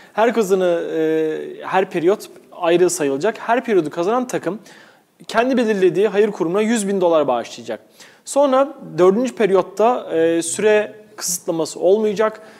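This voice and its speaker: A man's high voice carries lively intonation at a moderate pace. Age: 20s. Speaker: sports podcast host. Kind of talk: casual chat. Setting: studio.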